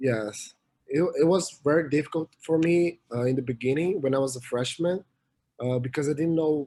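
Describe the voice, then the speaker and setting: A man with a Portuguese accent, a fairly high pitch and a dark, mellow tone speaks at a moderate pace with ordinary pitch variation and very even loudness. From Brazil, São Paulo. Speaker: college swimmer and student. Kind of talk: interview. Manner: halting, many fillers.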